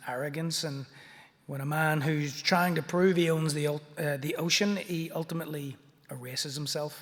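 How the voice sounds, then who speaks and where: In a Belfast accent, a man talks at a moderate pace with a fairly high pitch and ordinary pitch variation. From Northern Ireland, Belfast. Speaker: artist and picture book author. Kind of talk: illustrated talk.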